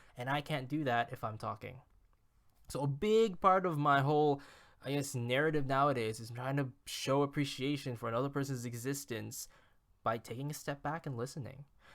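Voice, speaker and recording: Over a silent background on a very clean recording, a man speaks at fairly high pitch. His pace is fairly quick, with ordinary pitch variation. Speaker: YouTuber. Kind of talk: casual monologue. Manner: rambling, talkative.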